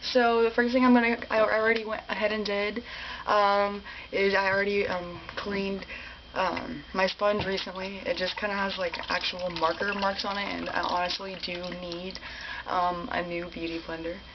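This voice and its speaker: A woman talks at a moderate pace and medium pitch, her intonation fairly even, against noticeable background noise. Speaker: beauty and ASMR vlogger. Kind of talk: casual talk to camera, makeup tutorial. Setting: studio, close mic, ASMR style.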